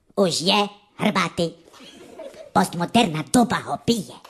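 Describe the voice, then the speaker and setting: A woman's put-on character voice with ordinary pitch variation. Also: medium pitch for a woman. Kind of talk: comic overacting. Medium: comedy sketch. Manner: pompous, convoluted, mixing eastern Slovak dialect.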